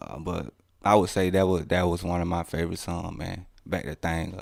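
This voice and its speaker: A man with a Mississippi accent and a very deep, low pitch talks at a moderate pace with fairly even intonation and big swings in loudness. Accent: Southern US (Mississippi). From Mississippi, US South. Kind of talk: casual interview.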